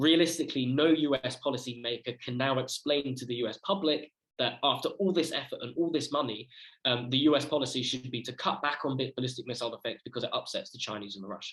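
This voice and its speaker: A man with a British accent talks at a very fast pace, his medium pitch showing ordinary variation. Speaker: student researcher. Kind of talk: conference presentation.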